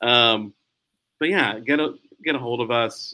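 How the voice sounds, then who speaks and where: With an American accent and a bright, sharp tone, a man speaks at medium pitch and a fairly slow pace, with ordinary pitch variation. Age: 40s. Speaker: newspaper editor. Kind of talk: casual interview.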